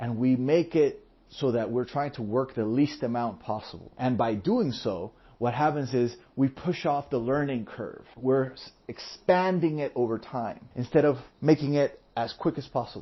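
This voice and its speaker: This man talks in a Spanish accent at a medium pitch. He keeps a moderate pace with ordinary pitch variation. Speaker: podcast host, entrepreneur. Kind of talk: solo podcast monologue.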